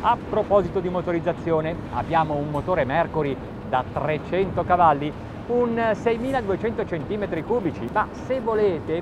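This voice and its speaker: Against noticeable background noise, a man speaks at a fairly slow pace, the sound dry with no echo. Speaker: boat reviewer. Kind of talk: review commentary to camera. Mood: relaxed, enjoying himself. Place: boat.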